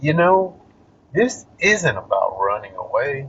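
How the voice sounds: A man speaks at a fairly slow pace. His fairly bright tone has a slightly husky edge.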